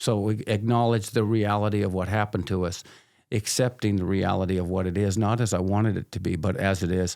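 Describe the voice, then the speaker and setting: A man talks at a fairly quick pace in a plain, everyday voice with a fairly low pitch and fairly even intonation. The recording is very clean, with a silent background. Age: 60s. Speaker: addiction counselor. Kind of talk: casual interview chat. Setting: podcast recording.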